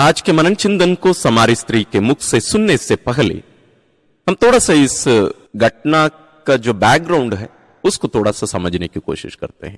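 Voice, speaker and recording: This man's fairly high pitch makes very wide swings, with vocal fry and a dry, close sound that has no echo. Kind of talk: guided meditation and Bible reflection. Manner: calm, explanatory, teaching.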